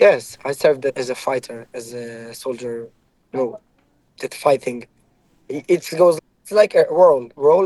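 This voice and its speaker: A man with an Israeli accent speaks fairly slowly in a fairly high pitch with a dark, mellow tone. His intonation is lively, with big swings in loudness and long, frequent pauses. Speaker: ex-soldier. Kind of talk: heated debate. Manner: halting.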